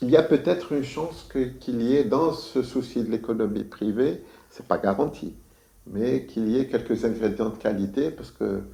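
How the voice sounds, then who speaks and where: Showing vocal fry and a dark, mellow tone, a man speaks at medium pitch and a moderate pace. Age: 60s. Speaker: architect. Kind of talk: interview. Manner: hesitant, many fillers.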